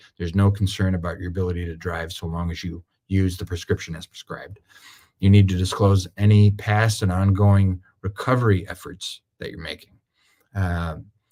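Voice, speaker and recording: A man's very deep, low pitch with a dark, mellow tone, monotone, flat intonation and big swings in loudness. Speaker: attorney. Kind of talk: webinar presentation. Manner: fast.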